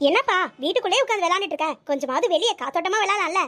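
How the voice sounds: A woman's cartoonish character voice, extremely high-pitched, at a very fast pace with lively intonation.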